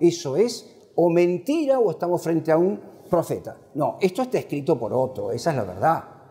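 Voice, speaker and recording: A man's high-pitched voice in an animated tone, with very wide pitch swings at a moderate pace. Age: 70s. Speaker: professor. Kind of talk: book presentation lecture. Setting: classroom with audience.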